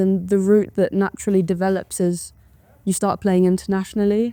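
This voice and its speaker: Speaking at a fairly quick pace, a woman uses monotone, flat intonation at a medium pitch with a dark, mellow tone. The sound is dry and close with no echo, in a very clean recording with a silent background. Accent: British. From England, moved to Taiwan at ten. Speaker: professional tennis player. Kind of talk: documentary interview. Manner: casual, with fillers and restarts.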